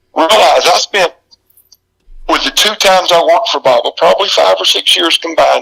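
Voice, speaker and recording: With a Southern US accent, a man speaks at very even loudness in a dry, close sound with no echo. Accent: Southern US drawl. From US South, South Carolina. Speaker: retired pro wrestler. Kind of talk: interview.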